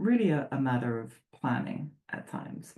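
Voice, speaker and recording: In an English accent, a woman speaks at a fairly slow pace with a very deep, low pitch. Her tone is dark and mellow, with vocal fry. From England. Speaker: sports psychologist. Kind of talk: presentation. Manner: conversational with filler words.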